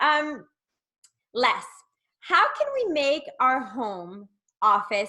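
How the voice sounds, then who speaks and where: The voice is raised and projected, bright and sharp in tone, delivered at a very slow pace. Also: woman. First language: not English. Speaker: networking host. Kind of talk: casual interview.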